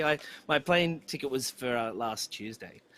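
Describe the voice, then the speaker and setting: Speaking with an Australian accent, a man uses lively intonation and a bright, sharp tone. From Australia, country New South Wales. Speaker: musician. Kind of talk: casual chat.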